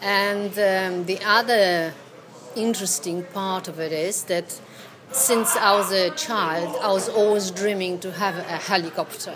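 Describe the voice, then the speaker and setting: A woman talks with a Polish accent. Noticeable background noise sits behind her. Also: medium pitch for a woman, ordinary pitch variation, fairly slow pace. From Poland. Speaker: actress. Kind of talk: casual chat. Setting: in a pub. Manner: animated.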